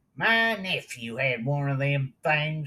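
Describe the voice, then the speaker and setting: Using a put-on character voice, the speaker drawls at a fairly slow pace with a low-to-middle pitch. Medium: read story. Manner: drawling, slow.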